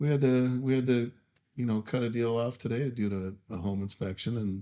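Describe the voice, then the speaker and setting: At a moderate pace, a man talks in a medium pitch with fairly even intonation. His tone is dark, mellow and calm. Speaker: real estate agent. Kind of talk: casual podcast interview.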